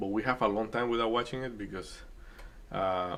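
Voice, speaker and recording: A man speaks with a Spanish accent. His pitch sits fairly low. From Dominican Republic. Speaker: day trading streamer. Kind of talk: casual chat during live trading stream. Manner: hesitant, many fillers.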